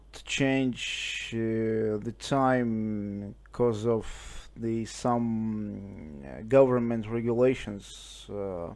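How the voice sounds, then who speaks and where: A man speaks very slowly at a medium pitch. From Russia. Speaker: ham radio operator. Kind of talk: casual chat. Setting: radio contact via internet link from home. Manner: halting, many fillers.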